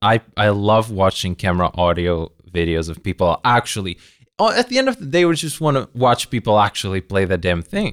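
In a very clean recording with a silent background and a dry, close sound with no echo, a man with a plain, everyday voice speaks at a fairly low pitch and moderate pace. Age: 20s. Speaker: podcast host and guitar cover content creator. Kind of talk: casual chat.

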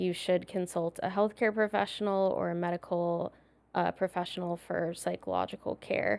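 A woman with an American accent at a moderate pace, in a dry, close sound with no echo. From San Diego, California. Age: 30s. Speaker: psychologist. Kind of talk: casual chat.

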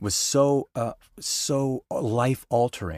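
In a very clean recording with a silent background and a dry, close sound with no echo, a man with a medium pitch speaks with an American accent. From Colorado (Denver, Boulder). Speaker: voice actor. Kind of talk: casual chat. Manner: halting, many fillers and repetitions.

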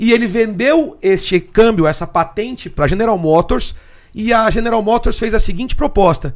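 At a moderate pace, a man with a high pitch speaks in lively intonation. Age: 40s. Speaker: muscle car workshop owner. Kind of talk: casual chat.

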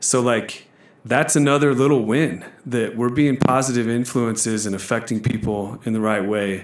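This man has a normal speaking voice, ordinary pitch variation and a moderate pace. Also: medium pitch for a man. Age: 30s. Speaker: gym manager. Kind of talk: casual chat.

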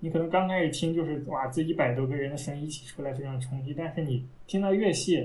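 With a very fast pace and hardly any pauses, a man talks in a somewhat breathy, fairly high voice with ordinary pitch variation while audible room echo surrounds him. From Taiyuan, Shanxi, northern China. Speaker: classical music enthusiast. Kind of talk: casual chat.

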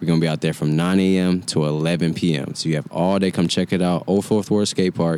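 Speaking at a very deep, low pitch, a man keeps fairly even intonation and very even loudness. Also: fairly quick pace. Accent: American. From Atlanta, Georgia (US South). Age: 20s. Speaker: community event organizer. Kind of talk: casual chat.

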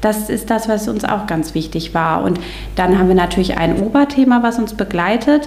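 A woman's medium-pitched voice with lively intonation at a moderate pace, noticeable background noise and audible room echo. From northern Germany, Stormarn district. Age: 30s. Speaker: special-needs teacher and children's church volunteer. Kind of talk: casual interview chat.

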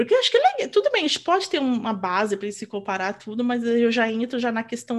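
Her fairly high voice races along as this woman speaks at a very fast pace. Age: 40s. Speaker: podcast co-host and mother. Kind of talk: casual chat. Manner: animated.

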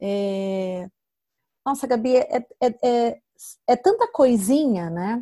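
A high-pitched woman's voice at a very slow pace, with lively intonation and long, frequent pauses. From Brazil. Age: 30s. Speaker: mother sharing her story. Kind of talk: interview, personal testimony.

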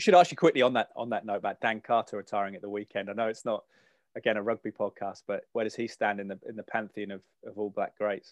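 A man with an English accent talks at a very fast pace with fairly low pitch and fairly even intonation, though his loudness swings widely. The sound is dry and close with no echo, over a quiet background. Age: 30s. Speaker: podcast host, sports broadcaster. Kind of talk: casual interview chat. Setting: home, spare room.

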